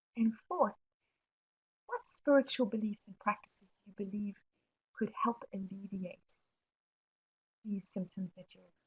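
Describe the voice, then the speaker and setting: A woman with a South African accent, fairly high in pitch and somewhat breathy, at a moderate pace with ordinary pitch variation, big swings in loudness and long, frequent pauses. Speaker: webinar presenter on mental health. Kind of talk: webinar presentation answering questions. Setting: online webinar.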